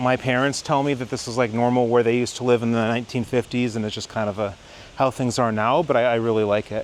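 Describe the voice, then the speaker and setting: Speaking with a Midwestern American accent, a man talks at a fairly quick pace with fairly even intonation. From Michigan, suburban Detroit. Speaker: travel vlogger, mathematician. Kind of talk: walking tour vlog. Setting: outdoors. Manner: casual, filler-heavy.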